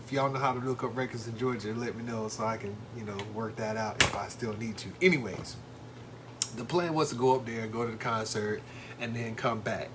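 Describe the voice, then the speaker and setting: Background noise and an echoing room both come through as a man talks rather quickly. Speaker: husband telling a story on wife's channel. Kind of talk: casual storytelling. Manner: loud.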